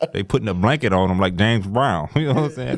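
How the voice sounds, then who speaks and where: A medium-pitched man speaks with very wide pitch swings. Noticeable background noise sits behind him. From Detroit. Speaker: rapper and producer. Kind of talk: podcast interview. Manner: animated, jokey.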